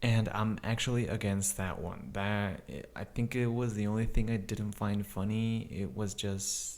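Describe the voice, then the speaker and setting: A man speaks quietly at a fairly slow pace in a fairly low pitch. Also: ordinary pitch variation. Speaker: YouTube movie reviewer. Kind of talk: movie review. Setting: home recording with neighbor next door. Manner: lowered, quiet voice.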